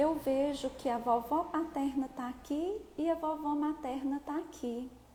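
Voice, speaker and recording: Against noticeable background noise, a woman with a high pitch speaks with fairly even intonation. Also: fairly slow pace. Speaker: therapist. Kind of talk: live stream talk. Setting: live video stream.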